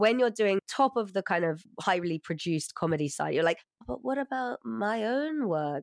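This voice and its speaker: At a moderate pace, a woman with a medium pitch and very wide pitch swings talks in a dry, close sound with no echo over a quiet background. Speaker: podcast host. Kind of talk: interview, casual chat.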